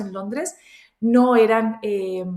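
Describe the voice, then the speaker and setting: A woman with ordinary pitch variation. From Spain and Colombian family, raised across countries. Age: 30s. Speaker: entrepreneur. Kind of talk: interview. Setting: studio.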